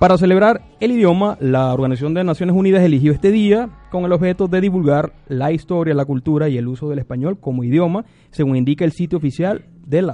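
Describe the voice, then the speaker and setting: This man talks at a very fast pace, his fairly high pitch moving with ordinary variation. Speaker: radio host. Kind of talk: radio show.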